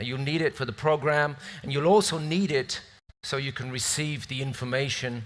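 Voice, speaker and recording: A speaker with a British accent talks at a moderate pace. The recording is very clean, with a silent background. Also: man. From northern England, near Scottish border. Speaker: event moderator. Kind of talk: event hosting speech. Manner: casual, joking.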